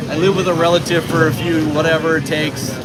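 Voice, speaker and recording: In an American accent, a man with a fairly high pitch speaks fairly quickly in a monotone, flat intonation, amid noticeable background noise and audible room echo. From United States. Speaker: live-stream vlogger. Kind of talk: casual live-stream chat.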